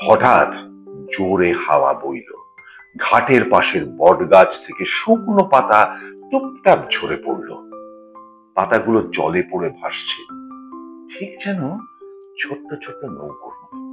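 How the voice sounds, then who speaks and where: Music plays in the background as a man speaks with big swings in loudness. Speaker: storyteller. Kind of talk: children's story narration. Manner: soothing.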